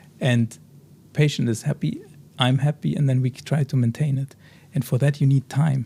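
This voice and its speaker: Somewhat breathy and dark, mellow in tone, the speaker talks with a German accent at a moderate pace, with fairly even intonation and long, frequent pauses. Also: man, fairly high pitch for a man. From Germany, Bavaria near Munich. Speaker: oral surgeon. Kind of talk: interview. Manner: halting.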